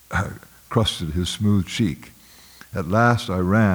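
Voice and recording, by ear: A passage is read aloud. The delivery is in a natural voice.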